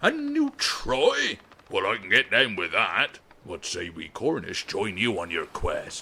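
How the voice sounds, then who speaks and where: Putting on a character voice, a man speaks at a fairly slow pace with big swings in loudness. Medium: audio drama. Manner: laconic, blunt, swaggering.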